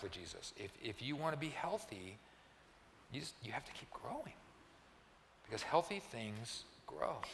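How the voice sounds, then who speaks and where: There is audible room echo and noticeable background noise as a man speaks with a fairly high pitch. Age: 60s. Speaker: pastor. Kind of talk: sermon. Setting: church.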